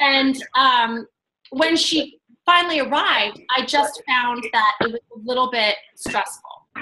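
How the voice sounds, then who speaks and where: At a fairly slow pace, the voice is raised and projected, bright and sharp in tone, with ordinary pitch variation and light background noise. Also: woman, high pitch for a woman. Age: 40s. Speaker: fitness coach and team leader; fitness coach. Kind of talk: video call presentation. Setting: video call. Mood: friendly, persuasive. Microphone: video call.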